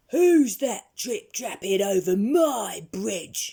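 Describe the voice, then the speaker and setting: A put-on character voice, gruff, growling and bellowing, at a fairly high pitch and a very slow pace. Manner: roaring, gruff.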